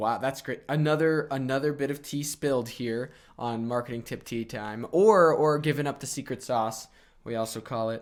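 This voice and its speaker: Moderate tempo and ordinary pitch movement in a man's voice of medium pitch. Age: 20s. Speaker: podcast host. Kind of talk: casual interview chat. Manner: animated.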